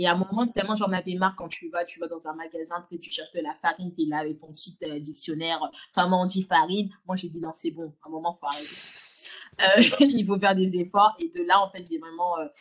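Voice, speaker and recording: This woman has a normal speaking voice, fairly low in pitch, with fairly even intonation. She talks at a fairly quick pace, and her loudness swings widely. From France, Lyon. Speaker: podcaster, content creator. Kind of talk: casual chat. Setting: video call.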